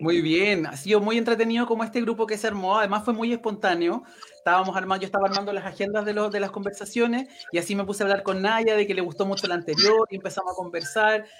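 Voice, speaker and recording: Very fast speech over noticeable background noise. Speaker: talk show host, union leader. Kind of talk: live stream interview chat.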